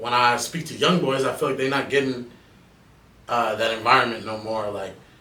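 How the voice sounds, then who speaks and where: A man at a fairly quick pace, amid audible room echo and noticeable background noise. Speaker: rapper. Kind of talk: casual podcast interview. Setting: studio.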